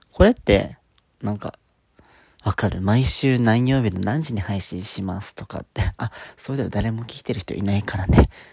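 Somewhat breathy and fairly low in pitch, a man speaks at a moderate pace with ordinary pitch variation and big swings in loudness. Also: dry, close sound with no echo. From Okinawa, Japan. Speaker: podcaster. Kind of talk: solo monologue. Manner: halting.

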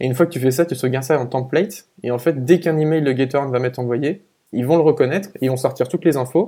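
Delivered at a very fast pace, the speech carries a dark, mellow tone. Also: man, medium pitch for a man, ordinary pitch variation. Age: 20s. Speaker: product designer. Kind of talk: casual interview chat. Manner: halting, many fillers and repetitions.

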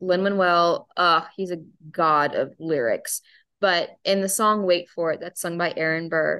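Against a quiet background, a woman with an unremarkable speaking voice and a fairly low pitch talks at a moderate pace in fairly even intonation. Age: 20s. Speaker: pageant titleholder and mental health advocate. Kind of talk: personal testimony in interview.

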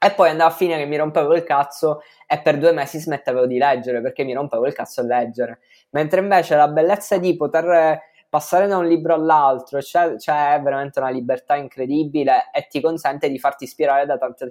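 A man rattles along at a very fast pace in a fairly even intonation. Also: fairly high pitch for a man. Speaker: content creator. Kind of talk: casual interview.

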